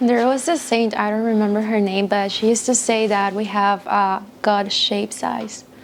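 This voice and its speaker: With a non-native accent, a woman speaks at a moderate pace in a fairly high pitch, her intonation fairly even and her delivery hardly pausing, over noticeable background noise. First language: not English. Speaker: youth speaker on chastity. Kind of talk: talk to teens.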